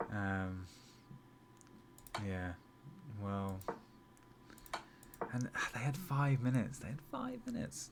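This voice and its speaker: With lively intonation and a medium pitch, a man talks over noticeable background noise. His speech has long, frequent pauses. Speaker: chess streamer. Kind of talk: live chess commentary and game review. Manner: halting, many fillers and repetitions; fast.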